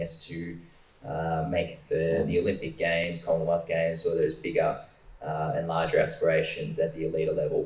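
There is noticeable background noise as a man talks with an Australian accent. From Ballarat, Victoria, Australia. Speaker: sprinter. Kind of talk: panel Q&A. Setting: stage with audience.

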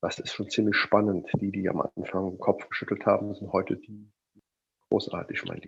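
A man's loudness swings widely as he keeps a moderate pace. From Rhineland, near Cologne. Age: 50s. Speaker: mindset and motivation coach. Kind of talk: interview.

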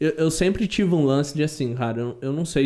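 His tone is dark and mellow. The man keeps to a moderate pace. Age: 20s. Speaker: podcast guest. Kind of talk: casual chat.

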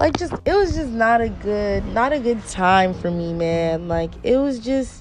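Against noticeable background noise, a woman speaks at a fairly slow pace, her pitch swinging very widely. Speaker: podcast host, childcare worker. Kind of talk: casual solo podcast talk. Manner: casual, conversational.

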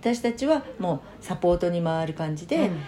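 A woman is heard with noticeable background noise behind her. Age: 50s. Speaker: community volunteer leader. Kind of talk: casual interview.

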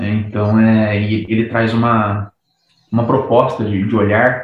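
In a room with audible echo, a man speaks in a fairly low, flat, monotone voice. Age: 30s. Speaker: psychologist. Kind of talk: casual chat.

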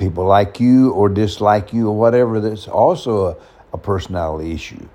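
Against noticeable background noise, a man speaks at a moderate pace with fairly low pitch and ordinary pitch variation. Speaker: podcast host talking about personality types. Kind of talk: casual monologue. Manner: halting, many fillers.

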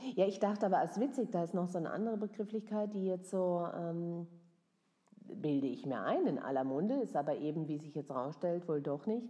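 A woman's dark, mellow tone at medium pitch, with lively intonation and a slight Baden accent. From southwest Germany, near Freiburg. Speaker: actress and cabaret performer. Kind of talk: casual chat. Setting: make-up styling session.

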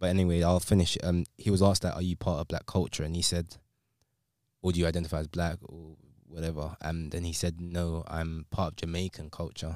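A man with a London accent speaks at a very deep, low pitch and a fairly quick pace. His intonation is monotone and flat on a very clean recording with a silent background. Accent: London English, multicultural London. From London, England (Sierra Leonean heritage). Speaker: podcast co-host. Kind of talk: casual chat.

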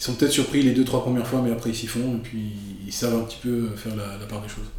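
Amid noticeable background noise and audible room echo, a man of medium pitch speaks with fairly even intonation. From France, raised in Paris. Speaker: real estate photographer. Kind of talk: interview. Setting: studio.

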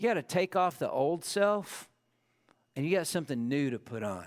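The recording is very clean with a silent background. A man speaks at a moderate pace with lively intonation. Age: 50s. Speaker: pastor. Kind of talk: sermon. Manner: halting.

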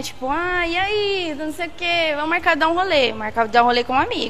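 A woman speaks at a moderate pace with a high pitch and lively intonation. Background noise is noticeable. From São Paulo state interior, Brazil (Jaguariúna/Holambra). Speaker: podcast guest. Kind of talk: casual chat.

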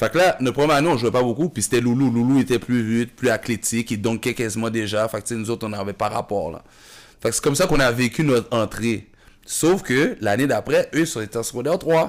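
A man's medium-pitched, unremarkable speaking voice at a fairly quick pace, with ordinary pitch variation, on a very clean recording with a silent background. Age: 30s. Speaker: basketball coach and former player. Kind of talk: casual chat.

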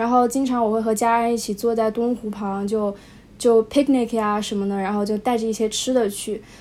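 Her voice has a dark, mellow tone and a fairly high pitch. This woman's intonation stays fairly even. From Wuhan, China. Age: young. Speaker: high school graduate. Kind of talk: casual interview. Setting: remote call. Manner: hesitant, many fillers.

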